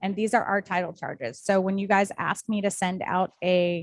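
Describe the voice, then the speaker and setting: The woman has a plain, everyday voice at a medium pitch. She speaks at a moderate pace in a dry, close sound with no echo. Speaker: title company representative. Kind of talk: presentation to real estate agents.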